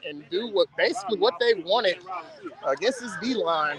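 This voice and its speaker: Over noticeable background noise, a man speaks in an animated tone at a fairly quick pace with lively intonation. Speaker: youth football commentator. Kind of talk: live commentary.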